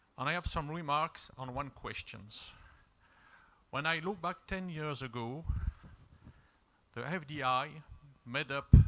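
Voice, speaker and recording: The speech has lively intonation and comes with a French accent. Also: man. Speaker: diplomat. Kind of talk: panel discussion remarks.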